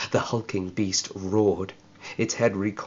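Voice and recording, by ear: Fairly even intonation shapes this reading aloud in a natural voice.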